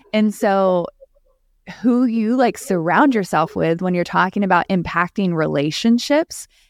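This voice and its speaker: Speaking at a fairly slow pace, a woman uses a normal speaking voice with medium pitch, in a dry, close sound with no echo. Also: lively intonation. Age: 30s. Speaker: YouTube personality. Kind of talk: casual chat.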